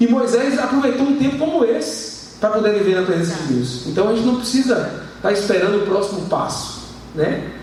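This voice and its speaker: In a room with audible echo and noticeable background noise, a man talks at a fairly quick pace in a high pitch, his intonation lively and his loudness very even. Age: 30s. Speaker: preacher. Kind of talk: sermon. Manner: halting, many repetitions and fillers.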